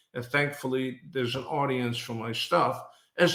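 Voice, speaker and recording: The man speaks at a moderate pace. Room echo can be heard. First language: not English. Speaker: business thought leader, podcast co-host. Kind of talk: casual podcast conversation.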